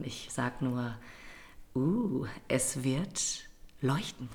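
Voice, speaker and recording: Audible room echo colors this recording. A woman talks with ordinary pitch variation. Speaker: theatre podcast co-host. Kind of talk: casual chat.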